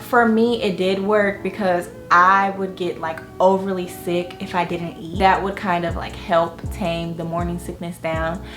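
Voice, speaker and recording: A woman in an American accent at a fairly slow pace, with music in the background. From Florida. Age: 20s. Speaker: lifestyle vlogger, mother. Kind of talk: casual talk to camera. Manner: chatty, casual.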